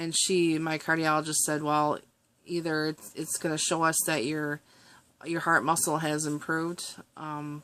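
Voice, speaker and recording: A woman with an American accent, very deep and low in pitch, bright and sharp in tone, flat and monotone, at a fairly slow pace, on a very clean recording with a silent background. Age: 40s. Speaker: vlogger. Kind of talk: personal vlog. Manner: halting.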